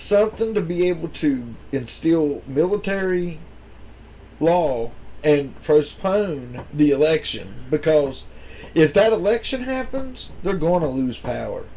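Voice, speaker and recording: Speaking at a fairly slow pace with an American accent, a man uses a fairly high pitch and a dark, mellow tone with very wide pitch swings. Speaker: podcast co-host. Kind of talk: casual chat.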